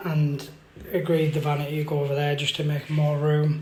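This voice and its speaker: A man speaks with a British accent at a fairly high pitch. His pace is moderate, and room echo is audible. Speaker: building contractor. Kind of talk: video diary tutorial.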